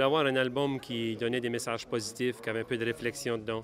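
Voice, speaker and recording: In a dry recording with no echo and light background noise, a man speaks at a fairly quick pace in a flat monotone. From Acadia, New Brunswick. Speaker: country singer-songwriter. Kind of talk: interview. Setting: awards gala. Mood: grateful, upbeat. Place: hall. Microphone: handheld.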